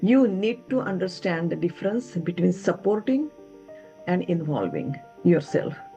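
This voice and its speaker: Music plays behind a woman with a fairly low voice. She speaks at a moderate pace with lively intonation. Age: 70s. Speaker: mother-in-law. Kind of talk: interview answer.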